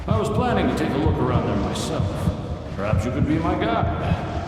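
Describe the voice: In a cartoonish character voice, a man talks fairly quickly at a fairly low pitch, with strong echo and loud background noise.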